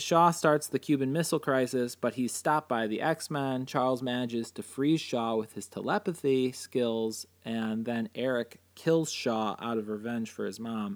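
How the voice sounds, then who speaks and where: A man with an ordinary speaking voice, medium pitch and ordinary pitch variation, at a moderate pace on a very clean recording with a silent background. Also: hardly any pauses. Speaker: podcast host. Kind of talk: casual chat.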